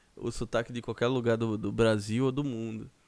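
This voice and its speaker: The recording is very clean, with a silent background. In it, a man talks at a moderate pace. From Brazil, Northeast. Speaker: podcast host. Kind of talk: casual chat.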